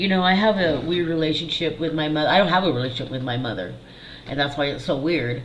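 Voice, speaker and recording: A woman with a very deep, low pitch talks at a fairly quick pace with ordinary pitch variation, amid audible room echo and noticeable background noise. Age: 50s. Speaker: psychic medium and channel host. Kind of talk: personal monologue to camera. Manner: casual, candid.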